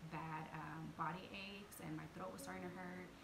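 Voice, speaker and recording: Over noticeable background noise, a woman talks at a fairly slow pace. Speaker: home vlogger. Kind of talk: casual vlog chat. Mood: warm, chatty. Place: home room. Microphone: phone near.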